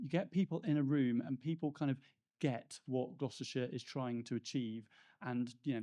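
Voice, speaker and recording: In a Devon accent, a man talks at a fairly quick pace and medium pitch, his tone dark and mellow and his pitch variation ordinary, against a quiet background. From Plymouth, Devon, England. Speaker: business outreach manager. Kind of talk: panel discussion. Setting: stage with live audience.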